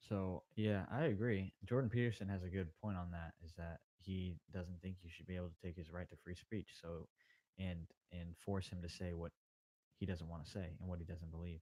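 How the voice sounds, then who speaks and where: Soft-spoken with a very deep, low pitch and a dark, mellow tone, a man talks at a moderate pace with fairly even intonation in a dry, close sound with no echo. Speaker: podcast guest. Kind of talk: casual chat. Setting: live stream.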